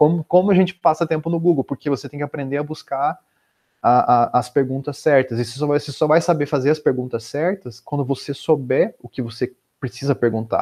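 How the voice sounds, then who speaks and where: A man with a dark, mellow tone, a fairly quick pace and ordinary pitch variation, over a quiet background. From Brazil, Curitiba region (Paraná); Paraná, Brazil. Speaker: software developer and entrepreneur; podcast guest. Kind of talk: interview conversation. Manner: halting, many filler words. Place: home room. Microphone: earbuds.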